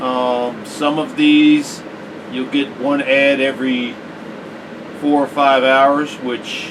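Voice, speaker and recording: A man's voice over noticeable background noise. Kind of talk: casual talk to camera. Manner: slow.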